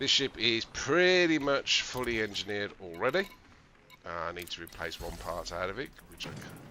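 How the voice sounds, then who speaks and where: A medium-pitched male voice with an English accent, a moderate pace, very wide pitch swings, and big swings in loudness. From England. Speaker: video game streamer. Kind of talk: gameplay tutorial livestream. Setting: live stream. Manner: casual, hesitant with fillers.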